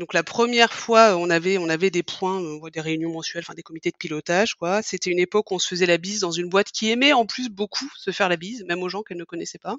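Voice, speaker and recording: This woman talks at a very fast pace, her pitch medium with ordinary variation. Her loudness swings widely. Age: 40s. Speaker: podcast guest sharing her love story. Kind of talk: casual interview, personal storytelling. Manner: hesitant, many fillers and repetitions.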